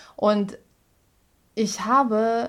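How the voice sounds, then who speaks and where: A woman with a Russian accent in a very clean recording with a silent background. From Russia (Moscow). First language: Russian (speaking German). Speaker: musical comedian. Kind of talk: casual interview. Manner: halting.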